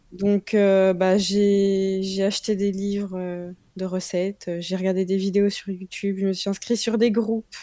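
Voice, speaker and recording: A woman speaks very slowly in a medium pitch with a dark, mellow tone. Her intonation stays monotone and flat. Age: 20s. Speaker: young mother sharing breastfeeding experience. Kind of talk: interview testimony.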